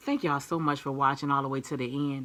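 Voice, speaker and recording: Loud and animated, a woman speaks up. Her tone is bright and sharp. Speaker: YouTube host. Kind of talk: casual vlog talk to viewers.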